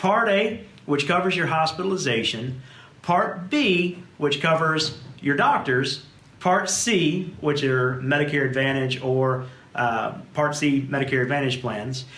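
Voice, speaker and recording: With a South Louisiana accent, a man speaks in a fairly high pitch and lively intonation amid audible room echo. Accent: South Louisiana drawl. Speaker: insurance agency manager. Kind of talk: webinar presentation. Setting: video recording with camera operator.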